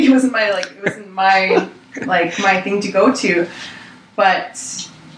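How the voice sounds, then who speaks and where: A woman talks at a fairly slow pace. Noticeable background noise is present. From Six Nations, Ontario, Canada. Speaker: guest. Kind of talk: casual discussion.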